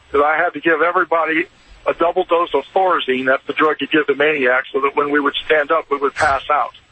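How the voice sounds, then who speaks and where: Fairly high in pitch, a man with an ordinary speaking voice talks at a fairly quick pace with fairly even intonation. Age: 60s. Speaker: caller, retired doctor and army veteran. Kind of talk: call-in testimony.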